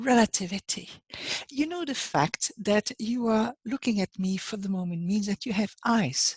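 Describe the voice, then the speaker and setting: A woman with a French accent speaks at a moderate pace, her fairly high voice somewhat breathy and her intonation lively. The sound is dry and close, with no echo. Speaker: life coach. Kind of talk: motivational talk. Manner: halting.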